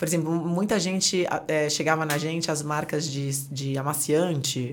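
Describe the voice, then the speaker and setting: Very deep, low woman's voice with fairly even intonation and audible room echo. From Brazil, Santos (Baixada Santista). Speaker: entrepreneur, brand partnerships. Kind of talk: interview conversation.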